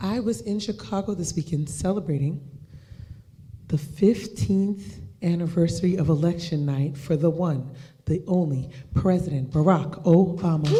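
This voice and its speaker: Soft-spoken, a woman talks at a moderate pace with a fairly low pitch as room echo is audible. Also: ordinary pitch variation. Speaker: talk show host. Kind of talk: live show hosting. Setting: stage with audience.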